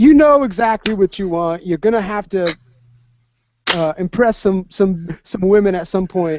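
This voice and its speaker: This man's voice is high for a man, with ordinary pitch variation. He speaks at a moderate pace. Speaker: veteran podcast co-host. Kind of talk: casual chat.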